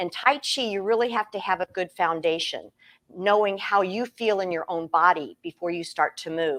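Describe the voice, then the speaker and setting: A woman in an American accent talks at a fairly quick pace and medium pitch, using a normal speaking voice with ordinary pitch variation. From Iowa, Des Moines. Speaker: tai chi teacher. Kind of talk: interview on webinar.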